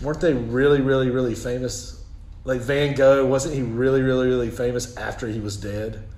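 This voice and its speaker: A man with a Southern US accent, medium pitch and fairly even intonation, at a moderate pace with audible room echo. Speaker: elder law attorney. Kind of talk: casual chat. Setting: office.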